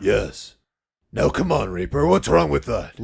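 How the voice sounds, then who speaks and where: In a cartoonish character voice, a man speaks at a fairly slow pace, raspy and fairly low in pitch. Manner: calm, slightly condescending.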